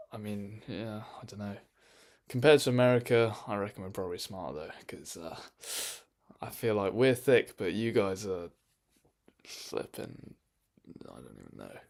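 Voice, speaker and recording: In a very clean recording with a silent background, a man with an English accent and fairly low pitch talks at a moderate pace, with long, frequent pauses and big swings in loudness. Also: ordinary pitch variation. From England. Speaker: streamer. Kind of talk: casual chat. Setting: live stream in own room. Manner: animated.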